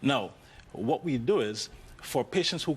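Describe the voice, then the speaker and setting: This is a man speaking. He has a Jamaican accent. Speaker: orthopedic spine surgeon. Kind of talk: TV talk show interview.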